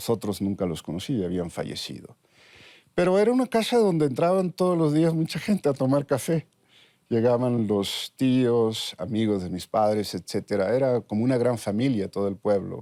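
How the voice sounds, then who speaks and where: The tone is dark and mellow, with very wide pitch swings at a moderate pace. The recording is very clean with a silent background and a dry, close sound with no echo. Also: man, medium pitch for a man. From Mexico, Sonora (Ures). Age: 60s. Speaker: neuroscientist. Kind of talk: interview.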